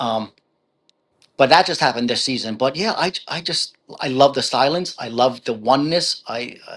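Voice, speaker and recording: A man with a strong New Jersey accent speaks at a moderate pace and medium pitch, with ordinary pitch variation and big swings in loudness. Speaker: author. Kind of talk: interview. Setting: live video stream.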